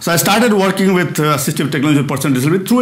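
A man speaks with lively intonation. Audible room echo surrounds his voice. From India. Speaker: physicist and research director. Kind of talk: lecture. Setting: stage with audience. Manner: fast. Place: hall. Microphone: lapel.

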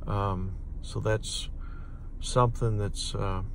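A man speaks slowly with vocal fry. His intonation stays fairly even. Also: fairly low pitch for a man.

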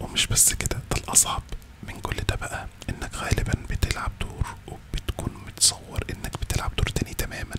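Soft-spoken and whispering, the speaker goes at a fairly slow pace. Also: man. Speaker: content creator. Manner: soft close-mic ASMR whisper. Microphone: studio mic.

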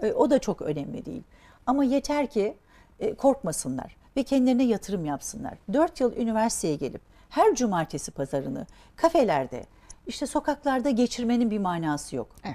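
A woman speaks at a fairly quick pace in a fairly high voice with a dark, mellow tone, vocal fry, and very wide pitch swings. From Turkey, raised in Diyarbakır and the Aegean; Turkey. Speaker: entrepreneur; guest. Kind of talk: interview. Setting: studio. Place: studio.

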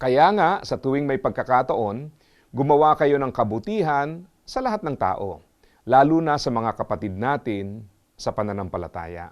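A man speaks at a moderate pace in a medium pitch, his voice swinging very widely up and down against a quiet background. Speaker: motivational speaker. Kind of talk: scripted inspirational talk.

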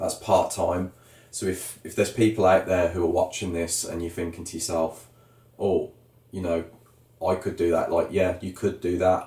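Someone with a Birmingham accent talks at a moderate pace amid audible room echo. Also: man. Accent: Birmingham (Brummie) English. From Birmingham, England. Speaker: YouTube vlogger planning emigration. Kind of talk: casual chat. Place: home room. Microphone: camera far.

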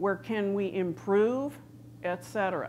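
Against light background noise, a woman speaks at a very slow pace. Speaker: conference presenter. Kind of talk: lecture. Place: stage. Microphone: lapel.

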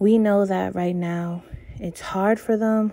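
A dark, mellow tone moves at a very slow pace with fairly even intonation. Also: woman. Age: 20s. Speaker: true crime youtuber. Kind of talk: true crime storytelling. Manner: casual, conversational. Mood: earnest, sympathetic. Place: home room.

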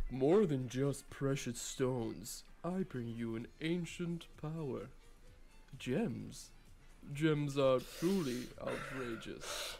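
A man speaks very slowly against clear background noise. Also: medium pitch for a man. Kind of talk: comic overacting of game quotes. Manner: hammy, declamatory.

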